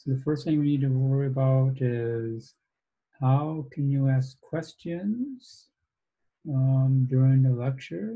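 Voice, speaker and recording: Very slow delivery with ordinary pitch variation and very even loudness. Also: man. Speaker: lecturer. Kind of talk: lecture. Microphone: video call.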